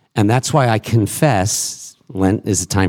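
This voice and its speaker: A man with an American accent speaks fairly slowly at a fairly low pitch, using lively intonation in a normal speaking voice. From Massachusetts. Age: 50s. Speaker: rabbi. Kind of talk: panel discussion. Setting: stage with audience.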